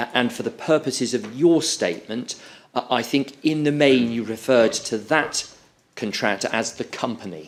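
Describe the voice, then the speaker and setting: Lively intonation marks this British accent. The pace is moderate. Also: man, medium pitch for a man. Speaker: inquiry counsel. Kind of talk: witness examination at public inquiry. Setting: courtroom hearing. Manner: formal; loud.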